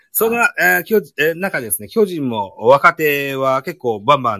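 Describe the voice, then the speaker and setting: A man with a bright, sharp tone speaks at a moderate pace with very wide pitch swings, the sound dry and close with no echo. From Japan, Shimane (Matsue). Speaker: podcast host. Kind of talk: casual chat. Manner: hesitant, many fillers.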